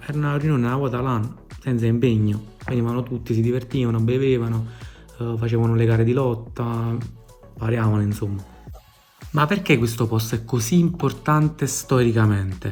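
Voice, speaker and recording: A man with a Neapolitan accent talks at a fairly quick pace, his pitch medium with ordinary variation. He leaves long, frequent pauses while music plays in the background. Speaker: travel vlogger. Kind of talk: improvised humorous travel storytelling to camera. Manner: casual, comic.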